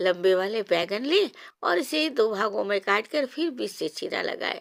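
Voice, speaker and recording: A woman at a medium pitch uses lively intonation in an ordinary speaking voice, recorded very clean with a silent background and a dry, close sound with no echo. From Odisha, India. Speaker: cooking channel host. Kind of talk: cooking tutorial. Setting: home kitchen on a veranda.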